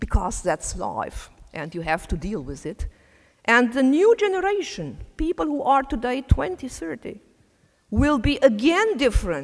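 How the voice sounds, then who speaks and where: A woman with a non-native accent speaks fairly slowly in a high pitch, with very wide pitch swings and big shifts in loudness. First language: not English. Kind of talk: conference talk.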